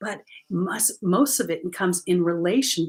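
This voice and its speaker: In a normal speaking voice, a woman with a fairly low pitch talks with lively intonation. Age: 60s. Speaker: spiritual coach and card reader. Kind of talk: livestream card reading. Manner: casual, conversational.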